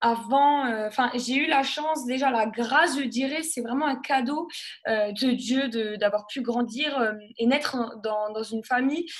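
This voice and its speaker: A woman's high-pitched voice at a very slow pace, with music in the background. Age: 20s. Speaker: nurse and gospel singer giving testimony. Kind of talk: testimony. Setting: live broadcast. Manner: halting, many fillers.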